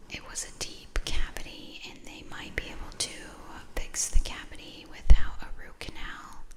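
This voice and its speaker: A woman whispers at a very slow pace. Noticeable background noise surrounds her. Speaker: ASMR creator. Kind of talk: ASMR soft-spoken rambling. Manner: casual chatty storytelling.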